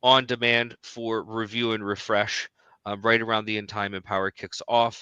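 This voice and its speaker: A bright, sharp tone with an American accent, dry and close-sounding with no echo. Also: man. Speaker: certification trainer. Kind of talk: live webinar chat. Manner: hesitant, many fillers.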